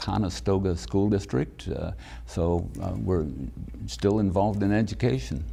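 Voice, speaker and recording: A man's very deep, low voice with a dark, mellow tone and vocal fry, very wide pitch swings, a moderate pace and audible room echo. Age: 70s. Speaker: county commissioner. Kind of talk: interview. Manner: soft-spoken; halting.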